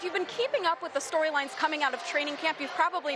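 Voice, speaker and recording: A woman with an American accent talks very fast in a raised, projected, high voice. Noticeable background noise runs underneath. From Tampa, Florida. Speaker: sports reporter. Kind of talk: sports news report.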